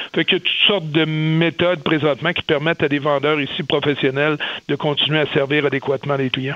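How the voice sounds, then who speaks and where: Fairly high for a man, his voice moves at a fairly quick pace in a flat monotone. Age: 50s. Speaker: business executive. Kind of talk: radio interview.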